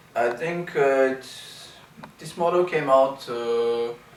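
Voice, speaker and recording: A man with a Bulgarian accent talks with ordinary pitch variation, amid noticeable background noise and audible room echo. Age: 30s. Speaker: wheelchair user and video blogger. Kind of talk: product review. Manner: hesitant, many fillers.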